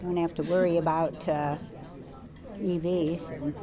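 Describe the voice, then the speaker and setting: A woman with an American accent speaks at a very deep, low pitch with monotone, flat intonation. Noticeable background noise is heard. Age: 80s+. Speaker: voter. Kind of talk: interview.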